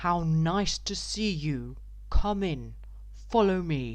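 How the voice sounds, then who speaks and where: In a put-on character voice, a woman speaks loud and booming at a very slow pace. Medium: read story. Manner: loud and hearty.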